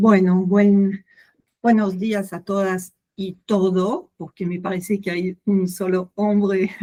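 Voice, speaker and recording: In a French accent, a woman speaks at a very slow pace with monotone, flat intonation and a dark, mellow tone. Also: medium pitch for a woman. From France. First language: French (speaking Spanish). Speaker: literary critic, book club participant. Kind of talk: casual discussion. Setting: video call. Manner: halting.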